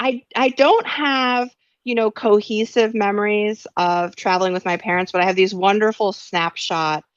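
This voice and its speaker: A woman with a New York accent and a fairly high pitch, moderate in pace, in a dry, close sound with no echo and a quiet background. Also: ordinary pitch variation. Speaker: author and science journalist. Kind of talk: interview.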